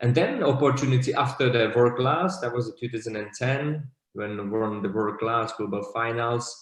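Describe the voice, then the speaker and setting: A man with a Slovak accent speaks at a moderate pace. His voice is somewhat breathy. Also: medium pitch for a man, ordinary pitch variation. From Slovakia. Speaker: bartender. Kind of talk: interview.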